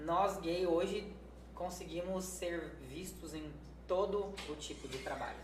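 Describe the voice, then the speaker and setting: A man's voice at a fairly slow pace, with audible room echo and noticeable background noise. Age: 30s. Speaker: nursing technician. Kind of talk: casual chat.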